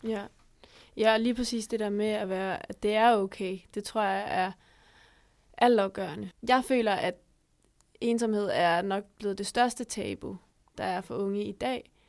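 A woman's medium-pitched voice at a fairly slow pace, fairly even in intonation and broken by long, frequent pauses, on a very clean recording with a silent background. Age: young. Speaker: podcast host. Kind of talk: interview.

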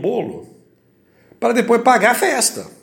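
Speaking fairly slowly in an animated tone, a man is heard amid audible room echo. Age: 60s. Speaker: engineer running for council office. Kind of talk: campaign podcast monologue.

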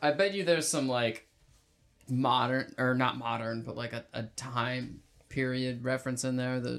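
A man's medium-pitched voice moves at a moderate speed. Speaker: podcast co-host. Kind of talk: casual banter, comedic podcast discussion, recaps plot. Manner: jokey, playful, conversational.

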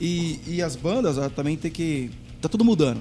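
A man with a fairly high pitch speaks at a moderate pace. His tone is dark and mellow. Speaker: rock band singer and chef. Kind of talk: casual chat. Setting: video call.

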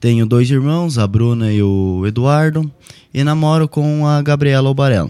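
A man's dark, mellow voice sits at medium pitch, with very even loudness, ordinary pitch variation and a moderate pace. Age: 20s. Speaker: political candidate. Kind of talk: radio interview, prepared campaign statement.

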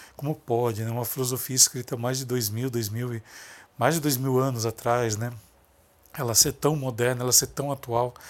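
The male speaker keeps a moderate pace. His medium-pitched delivery is monotone, flat intonation throughout. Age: 40s. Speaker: lighting designer and podcast host. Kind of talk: motivational monologue. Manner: halting.

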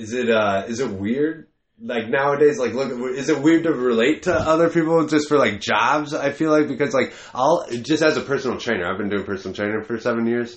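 An ordinary speaking voice goes at a fairly quick pace with ordinary pitch variation. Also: man, medium pitch for a man. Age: 20s. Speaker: podcast host and stand-up comedian. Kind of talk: casual chat.

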